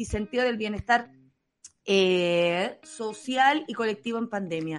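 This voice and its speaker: A woman with a Chilean accent and lively intonation. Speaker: radio host. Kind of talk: casual chat. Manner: animated.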